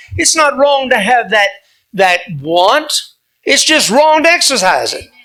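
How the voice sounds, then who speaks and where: At a moderate pace, a man with an extremely high pitch projects a raised voice that swings very widely in pitch. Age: 70s. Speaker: pastor and conservative activist. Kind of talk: speech to club audience with Q&A. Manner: animated, preacherly.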